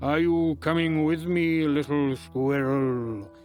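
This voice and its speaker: A man uses a put-on character voice at a fairly high pitch. He talks at a fairly slow pace, with clear music in the background. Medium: read story. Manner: grand, slow and solemn.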